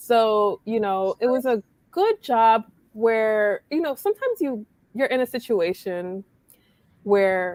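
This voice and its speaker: The speaker has a New York accent and ordinary pitch variation, talking at a very slow pace with long, frequent pauses. The sound is dry and close with no echo, on a very clean recording with a silent background. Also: woman, fairly high pitch for a woman. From New York, Brooklyn. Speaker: blogger. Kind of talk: casual chat.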